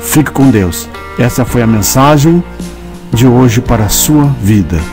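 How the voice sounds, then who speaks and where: Music plays in the background as a man with a medium pitch speaks fairly slowly, his pitch swinging very widely. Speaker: narrator. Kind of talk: religious devotional message with prayer.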